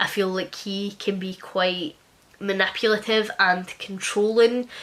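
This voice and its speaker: In an East Scottish accent, a woman speaks at medium pitch with fairly even intonation. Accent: East Scotland. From Scotland, West Lothian. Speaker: book youtuber. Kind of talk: casual chat.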